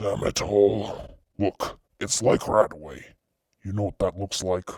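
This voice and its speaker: Putting on a growling character voice, a man talks at a fairly slow pace with a fairly low pitch. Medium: read story. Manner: blunt, curt, impatient.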